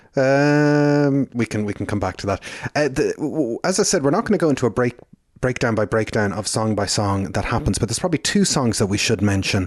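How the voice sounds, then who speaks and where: Lively intonation and a fairly quick pace mark this speaker with an Irish accent. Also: man, medium pitch for a man. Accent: Irish brogue. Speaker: podcast host. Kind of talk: casual chat.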